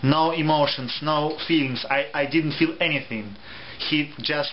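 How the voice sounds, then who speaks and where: Over noticeable background noise, a man with a Russian accent and a fairly high pitch talks at a fairly slow pace with fairly even intonation. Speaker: theatre reviewer. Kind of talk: review vlog. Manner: halting.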